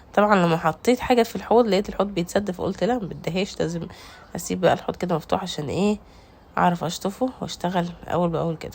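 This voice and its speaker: Speaking fairly quickly in an Egyptian accent, a woman keeps a medium pitch with ordinary pitch variation. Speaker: home cooking vlogger. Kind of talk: cooking tutorial. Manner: casual, chatty.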